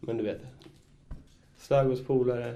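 Medium-pitched man with a dark, mellow tone, monotone, flat intonation and vocal fry, in audible room echo. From Stockholm. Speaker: graffiti writer. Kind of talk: casual chat. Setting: studio.

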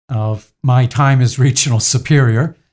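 The pace is very slow and the voice somewhat breathy. Intonation stays fairly even. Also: man. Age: 60s. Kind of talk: interview. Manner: halting.

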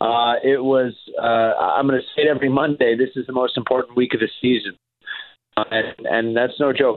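The man's delivery is monotone and flat, at a medium pitch and a moderate pace. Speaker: hockey play-by-play announcer. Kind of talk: radio interview.

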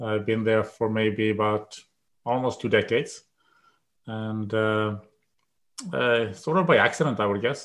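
A man speaks at a fairly slow pace with a Swedish accent, his pitch fairly low and its variation ordinary. Long pauses come often. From Sweden. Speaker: epidemiology professor. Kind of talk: interview. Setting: video call.

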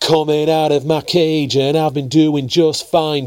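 This is an ordinary speaking voice. It proceeds at a moderate pace. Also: man. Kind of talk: spoken-word poem, confessional and reflective. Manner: intimate, emotional, wistful.

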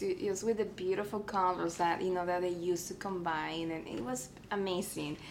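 Audible room echo surrounds a woman with a Spanish accent who talks at a moderate pace with ordinary pitch variation. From Mexico, Tamaulipas border town. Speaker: artist and art teacher. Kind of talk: interview.

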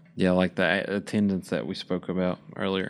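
A man with an Appalachian accent, on a very clean recording over a silent background. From West Virginia (McDowell County), born in Kentucky. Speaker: student podcast interviewer. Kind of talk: group discussion.

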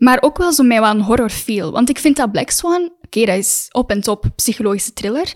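A woman's high voice at a fairly quick pace, with lively intonation, hardly any pauses, and a very clean recording with a silent background. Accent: Flemish. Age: 20s. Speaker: actress. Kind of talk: casual chat.

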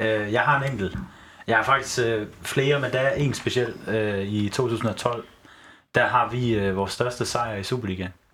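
Speaking at a fairly slow pace, a man uses a medium pitch and fairly even intonation, his tone bright and sharp. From Horsens, Denmark. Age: 20s. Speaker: football fan, teacher student. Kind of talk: casual chat. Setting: studio. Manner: halting.

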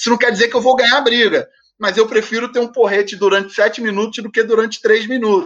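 At a very fast pace, a man speaks at an extremely high pitch with fairly even intonation. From Rio de Janeiro suburbs, Brazil. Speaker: football coach. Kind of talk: podcast interview.

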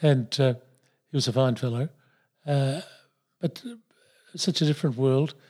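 A man with an Australian accent, a dark, mellow tone, very even loudness, fairly even intonation and long, frequent pauses. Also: medium pitch for a man, moderate pace. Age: 70s. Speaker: retired pharmacist and businessman. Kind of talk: interview, reflective life story. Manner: halting, hesitant with many fillers.

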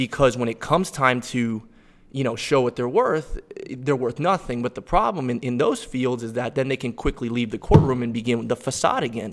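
A man speaks at a moderate pace in an unremarkable speaking voice of medium pitch. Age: 20s. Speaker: attorney and gym lifter. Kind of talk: casual conversation.

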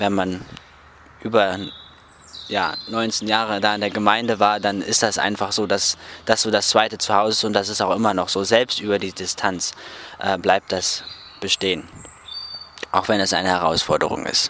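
Over noticeable background noise, a man with a fairly low pitch speaks in a flat monotone at a moderate pace, leaving long, frequent pauses. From northern Germany, Rostock. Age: 20s. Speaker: Bible school student. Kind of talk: interview. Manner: hesitant with fillers.

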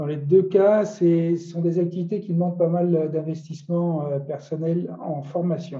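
Very slow, monotone, flat delivery from a man with a fairly high pitch. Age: 50s. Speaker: health coach, cancer survivor. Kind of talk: testimony. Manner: halting.

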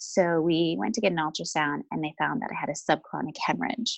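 A woman speaks with vocal fry at a very deep, low pitch. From Vancouver, Canada. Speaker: life and loss coach. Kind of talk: personal testimony in interview.

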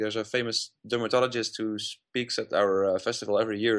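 A man speaks with a Dutch accent at a fairly low pitch. His intonation is monotone and flat. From Netherlands (Uden, North Brabant). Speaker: festival press coordinator. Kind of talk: interview. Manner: halting.

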